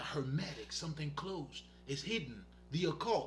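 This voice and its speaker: A man with a non-native accent and a fairly high pitch speaks at a moderate pace with lively intonation. Music plays in the background amid audible room echo. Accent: foreign. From Haiti. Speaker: spiritual healer. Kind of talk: casual monologue livestream. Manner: casual, profane, animated.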